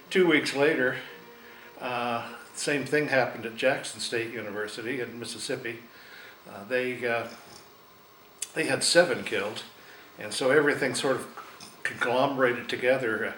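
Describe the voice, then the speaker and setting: A man with an American accent talks at a moderate pace and medium pitch, his intonation fairly even, his loudness swinging widely, with long, frequent pauses and audible room echo. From Oregon, US. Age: 60s. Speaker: interviewee recalling history. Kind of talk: oral history interview. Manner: halting, many fillers.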